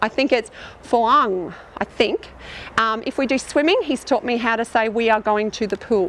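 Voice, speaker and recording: A woman's fairly high voice with an Australian accent and noticeable background noise. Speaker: teacher. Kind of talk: outdoor teaching demonstration. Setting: outdoors. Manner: fast.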